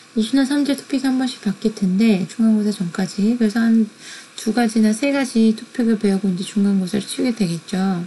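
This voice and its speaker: A woman talks at a fairly quick pace in a fairly high voice, with ordinary pitch variation, very even loudness and noticeable background noise. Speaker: university lecturer. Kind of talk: lecture.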